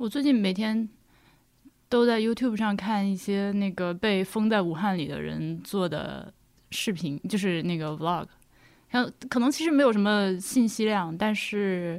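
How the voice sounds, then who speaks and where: A woman speaks in an unremarkable speaking voice at a medium pitch. Her pace is fairly slow, with ordinary pitch variation. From Hubei (Laohekou). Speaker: podcaster, guest. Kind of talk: casual chat. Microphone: poor audio quality.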